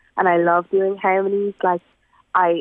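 A woman at medium pitch with a western Irish accent, monotone and flat in intonation, at a moderate pace. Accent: Irish (west of Ireland). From Ireland, rural Galway. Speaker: singer-songwriter. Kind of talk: radio interview.

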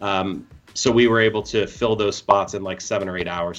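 In an American accent, a man speaks at a very deep, low pitch with fairly even intonation. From Ohio. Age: 40s. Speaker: disc golf tournament organizer. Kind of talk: casual chat.

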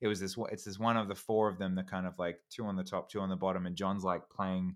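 The speaker has an Australian accent and a fairly quick pace with ordinary pitch variation. The recording is very clean, with a silent background. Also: man. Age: 30s. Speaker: YouTuber and actor. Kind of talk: casual chat. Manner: halting, frequent repetitions.

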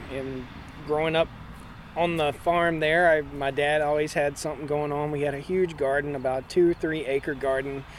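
A man with a Virginia accent, fairly high in pitch, at a moderate pace with monotone, flat intonation. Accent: Southern US (Virginia). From Virginia, Martinsville. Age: 40s. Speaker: farmer and homesteader. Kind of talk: interview. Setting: conference.

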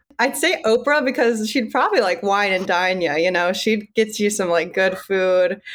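With hardly any pauses, a woman talks at a moderate pace in a medium pitch with lively intonation, an ordinary speaking voice. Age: 20s. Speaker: coworker of the host, Taylor Swift fan. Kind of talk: casual chat.

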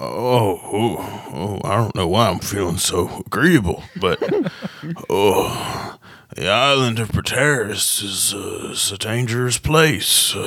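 A man's put-on character voice at a medium pitch and very slow pace, with light background noise. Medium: actual play. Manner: gruff, threatening, then rambling.

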